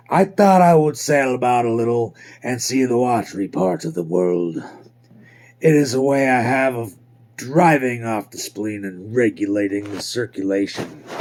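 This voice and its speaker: At a medium pitch, a man talks at a moderate pace with lively intonation and big swings in loudness. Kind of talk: classic audiobook reading. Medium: read story. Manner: measured, reflective.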